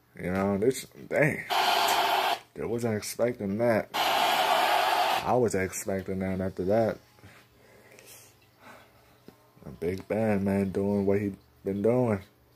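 A man speaks at a very slow pace with long, frequent pauses. Noticeable background noise is present. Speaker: gamer filming his TV. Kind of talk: casual game commentary. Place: home room. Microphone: phone near.

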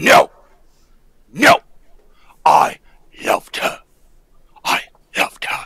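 A raspy voice moves at a fairly slow pace, broken by long, frequent pauses. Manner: anguished, pleading.

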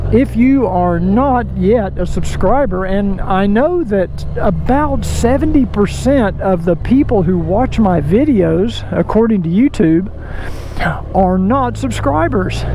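Amid noticeable background noise, a man speaks at a very slow pace, his voice dry with no echo. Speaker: motovlogger. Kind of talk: casual vlog chat. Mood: relaxed, friendly. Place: motorbike.

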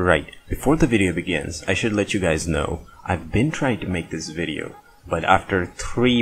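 Music plays in the background. Over it, a man talks with fairly even intonation. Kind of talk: casual commentary. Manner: casual, profane.

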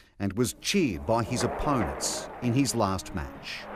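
In an Australian accent, a man talks with vocal fry in a very clean recording with a silent background. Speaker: TV news reporter. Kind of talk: news report narration.

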